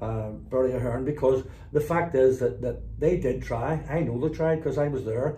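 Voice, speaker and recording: Speaking in a Belfast accent, a man uses medium pitch and fairly even intonation at a moderate pace. Audible room echo surrounds his voice. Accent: Belfast Northern Irish. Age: 60s. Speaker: former loyalist paramilitary and community negotiator. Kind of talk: interview.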